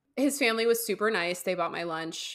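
A woman's bright, sharp voice sits at medium pitch and sounds animated, with ordinary pitch variation. The recording is very clean, with a silent background. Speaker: podcast co-host. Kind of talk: casual chat. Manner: giggly, animated.

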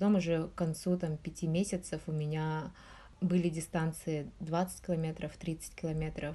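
The voice is somewhat breathy with a dark, mellow tone and monotone, flat intonation. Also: woman, very deep, low pitch for a woman, moderate pace. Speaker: researcher in nutrition and public health. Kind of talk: interview.

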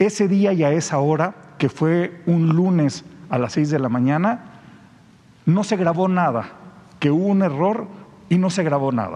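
This man has a high pitch, ordinary pitch variation and very even loudness, speaking at a fairly slow pace with long, frequent pauses. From Mexico, San Luis Potosí. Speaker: journalist. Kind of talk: press conference question.

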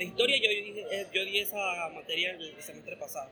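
Noticeable background noise is present throughout. A man does the talking. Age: 20s. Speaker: university student and cinema worker. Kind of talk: interview.

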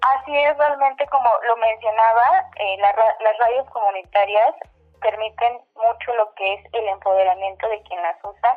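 Noticeable background noise is heard behind the speaker. A woman with a fairly high voice talks at a fairly slow pace. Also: ordinary pitch variation. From Mexico, Oaxaca. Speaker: radio producer and showroom owner. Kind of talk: radio interview. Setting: phone call.

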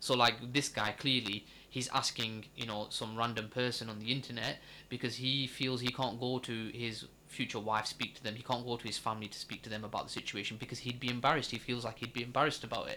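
A man with a Lancashire accent talks very fast at a medium pitch. His tone is bright and sharp, his intonation monotone and flat. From northern England, Accrington (Lancashire). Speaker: podcast co-host. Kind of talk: casual chat.

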